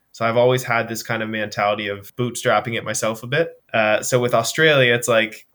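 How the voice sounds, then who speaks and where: A man with a Canadian Maritime accent speaks at a fairly quick pace and a medium pitch, his tone bright and sharp. Intonation stays fairly even, and the recording is very clean with a silent background. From Canada, Nova Scotia. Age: 20s. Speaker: personal trainer and endurance athlete. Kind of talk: casual interview chat.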